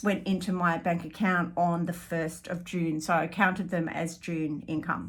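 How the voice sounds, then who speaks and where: Speaking at a fairly slow pace, a woman with an Australian accent uses a medium pitch. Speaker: artist and small business owner. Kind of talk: vlog monthly business update. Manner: halting, many fillers.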